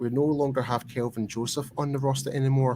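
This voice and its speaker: Over noticeable background noise, a man with a Scottish accent speaks at a fairly quick pace with fairly even intonation. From Scotland. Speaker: sports talk show host. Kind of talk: casual chat.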